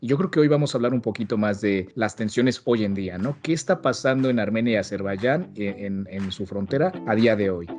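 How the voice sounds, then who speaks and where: In a quiet background, a man with a Mexican accent talks fairly quickly at a medium pitch with lively intonation. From Mexico. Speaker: podcast host. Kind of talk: casual podcast interview.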